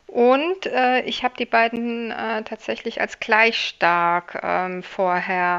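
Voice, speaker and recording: Against a quiet background, a woman uses a plain, everyday voice, fairly high in pitch with ordinary pitch variation. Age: 40s. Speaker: political scientist, election researcher. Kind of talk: interview.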